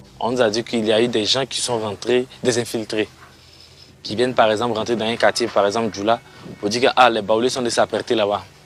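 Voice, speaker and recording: A man with a medium-pitched voice speaks at a fairly quick pace in a monotone, flat intonation. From Côte d'Ivoire, Toumodi. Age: 20s. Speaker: resident who lost his home. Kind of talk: testimony.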